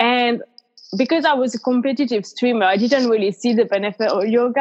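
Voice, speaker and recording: In a French accent, a woman talks fairly quickly at a fairly high pitch with ordinary pitch variation, the sound dry and close with no echo. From France. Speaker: yoga teacher and nutrition coach. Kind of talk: casual interview chat.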